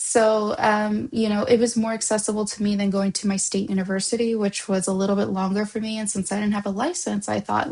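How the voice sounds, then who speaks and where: A woman talks at a fairly quick pace with a medium pitch. Her voice is somewhat breathy, with fairly even intonation. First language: Spanish. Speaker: vlogger. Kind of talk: personal reflection vlog. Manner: hesitant, many fillers and restarts.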